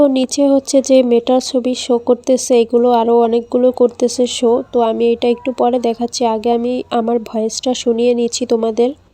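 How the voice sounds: A woman's fairly high voice with little pitch movement, a fairly quick pace and few pauses, dark and mellow in tone, in a dry, close sound with no echo.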